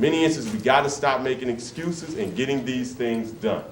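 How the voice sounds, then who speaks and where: Here is a man with an ordinary speaking voice and an American accent. He talks at medium pitch and a moderate pace. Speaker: workshop presenter for grandparents. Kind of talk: interactive community workshop talk, live to a room. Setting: church hall, live room recording.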